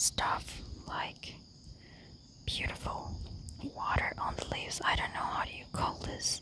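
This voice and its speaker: The speaker whispers at a fairly slow pace. Background noise is noticeable. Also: woman. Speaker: ASMR creator. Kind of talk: ASMR nature walk vlog. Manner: whispered.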